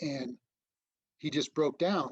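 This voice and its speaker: There is ordinary pitch variation in this man's voice. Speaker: disaster relief trainer. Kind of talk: training presentation. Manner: fast; halting, many fillers.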